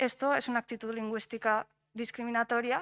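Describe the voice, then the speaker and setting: In a very clean recording with a silent background, a woman talks at a moderate pace with a fairly high pitch. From Spain. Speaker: doctoral researcher. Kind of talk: conference panel talk. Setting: conference round table. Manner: hesitant, many fillers and repetitions.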